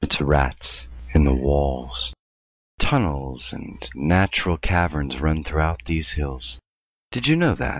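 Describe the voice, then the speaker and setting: A man puts on a character voice pitched very deep and low. He talks at a fairly slow pace. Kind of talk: gothic horror drama. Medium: machinima. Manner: aloof, haughty, coolly menacing.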